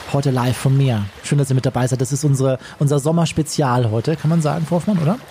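A man speaks at a very fast pace with hardly any pauses, his pitch fairly high and its variation ordinary. His loudness stays very even over noticeable background noise. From Bavaria, Chiemgau. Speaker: radio host. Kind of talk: casual chat.

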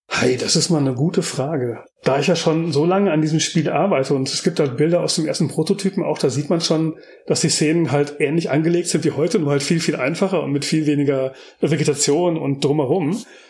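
Using an ordinary speaking voice, a man talks at a fairly quick pace and fairly high pitch, with ordinary pitch variation and very even loudness. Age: 40s. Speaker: game developer and architectural visualizer. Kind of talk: interview. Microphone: poor microphone quality.

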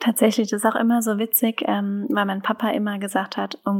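A woman's rather quick speech keeps fairly level intonation while noticeable noise runs in the background. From German wine region. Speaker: winemaker. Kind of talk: interview.

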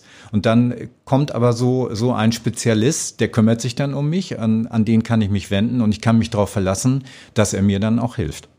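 With a northern German accent, a man talks in a dark, mellow tone with ordinary pitch variation. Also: medium pitch for a man, moderate pace, very clean recording, silent background. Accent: northern German, noticeable. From northern Germany, North Sea coast near Danish border. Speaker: customer service manager. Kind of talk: podcast interview. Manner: hesitant, many fillers and repetitions.

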